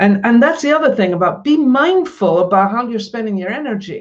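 A woman speaks with a Scottish accent. Her intonation is lively. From Scotland. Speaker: author and coach. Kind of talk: interview. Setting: live stream.

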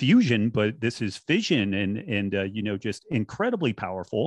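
Here is a man with an unremarkable speaking voice at medium pitch. He speaks at a moderate pace, the sound dry and close with no echo. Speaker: podcast guest. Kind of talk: casual chat.

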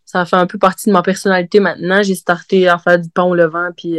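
Speaking at a fairly quick pace, a woman with a fairly low pitch keeps a monotone, flat intonation in a dry, close recording with no echo. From Quebec, Côte-Nord (Havre-Saint-Pierre). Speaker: brewer. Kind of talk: casual interview.

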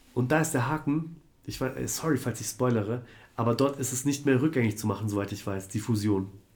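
This man talks at a fairly quick pace in a medium pitch, with ordinary pitch variation and a somewhat breathy sound. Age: 30s. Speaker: tattoo artist. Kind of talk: casual chat. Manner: hesitant, filler-heavy.

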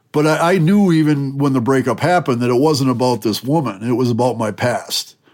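This is an unremarkable speaking voice with an American accent and ordinary pitch variation. The recording is very clean, with a silent background. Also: man. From Wisconsin, US Midwest. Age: 50s. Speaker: former extremist turned peace advocate. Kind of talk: interview.

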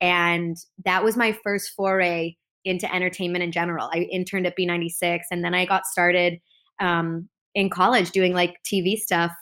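With an American accent, a woman speaks in a bright, sharp tone and monotone, flat intonation. The recording is very clean, with a silent background. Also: fairly low pitch for a woman, moderate pace. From US Midwest, Chicago northern suburbs. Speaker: TV host and correspondent. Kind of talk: casual interview chat.

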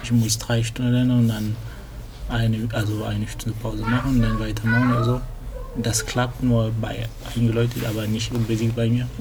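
Whispering carries over noticeable background noise, with audible room echo. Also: man, fairly quick pace. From Cameroon, then Lyon, France from about age ten. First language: French (speaking German). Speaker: computer science student, language tandem partner. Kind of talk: casual chat. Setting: library. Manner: halting, searching for German words.

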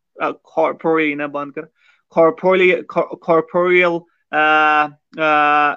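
The man's voice sits at a high pitch. His intonation is monotone and flat. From Kashmir. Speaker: podcast guest discussing philosophy of science. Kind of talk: conversational interview. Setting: live-streamed podcast.

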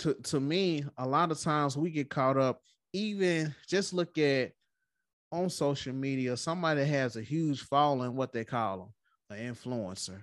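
Fairly high male voice with lively intonation, a moderate pace and a quiet background. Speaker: podcast host. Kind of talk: casual chat.

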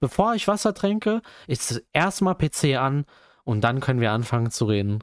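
Medium-pitched male speech with very wide pitch swings at a moderate pace, in a very clean recording with a silent background. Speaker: student podcast host. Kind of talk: casual chat.

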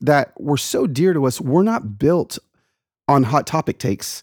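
At a moderate pace, a man with an ordinary speaking voice uses lively intonation in a very clean recording with a silent background and a dry, close sound with no echo. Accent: American. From US South, Atlanta, Georgia. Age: 40s. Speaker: author and speaker. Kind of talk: casual chat.

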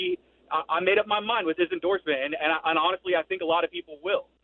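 A high-pitched man with an American accent and fairly even intonation. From Georgia, US South. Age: 20s. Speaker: caller. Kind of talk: call-in radio talk. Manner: halting, many fillers.

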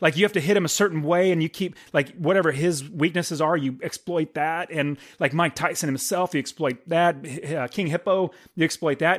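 Here a man speaks at a high pitch. His pace is fairly quick and his intonation fairly even. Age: 40s. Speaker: movie podcast co-host. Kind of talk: casual chat. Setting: studio.

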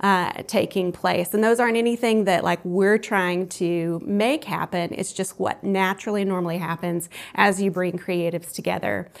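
With an American accent, a woman talks in a normal speaking voice at a medium pitch, with fairly even intonation and hardly any pauses. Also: moderate pace. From US South, Columbus, Georgia. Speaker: arts community founder and spiritual coach. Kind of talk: interview.

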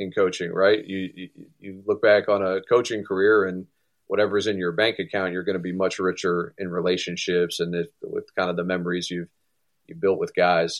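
Over a silent background in a very clean recording, a man speaks at a moderate pace with a very deep, low pitch. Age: 30s. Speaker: college baseball head coach. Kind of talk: interview.

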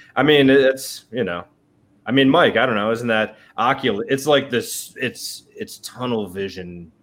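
Speaking fairly slowly with ordinary pitch variation, a man at medium pitch uses an ordinary speaking voice. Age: 40s. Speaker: podcast co-host. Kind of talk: casual chat.

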